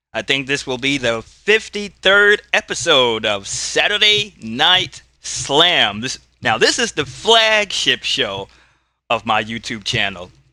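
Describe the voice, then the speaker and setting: Loud and bright with a sharp tone, a man speaks at a very slow pace with very wide pitch swings. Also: fairly high pitch for a man. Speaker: YouTuber playing tabletop wrestling game. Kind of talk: solo tabletop play commentary.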